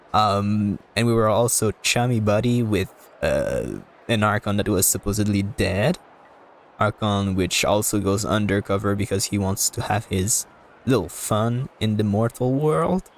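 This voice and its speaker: A man talks at a fairly slow pace in a fairly low pitch, with ordinary pitch variation and very even loudness. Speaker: gaming streamer. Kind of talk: live gameplay stream. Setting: live stream. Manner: halting.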